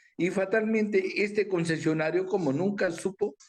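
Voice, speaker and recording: This man talks fairly slowly, his high voice showing ordinary pitch variation. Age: 60s. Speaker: aviation businessman. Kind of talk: interview. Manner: animated.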